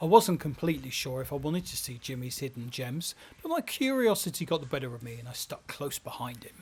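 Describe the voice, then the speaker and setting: A man talks at a very fast pace with hardly any pauses, his fairly high voice somewhat breathy. His intonation is lively and his loudness swings widely. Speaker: travel photojournalist and presenter. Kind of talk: travel documentary narration and interview. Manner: hushed, keeping quiet.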